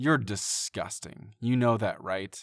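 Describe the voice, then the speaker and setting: A man speaks in a put-on character voice at a medium pitch, growling as he goes. His pitch varies in an ordinary way, and his pace is fairly slow. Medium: read story.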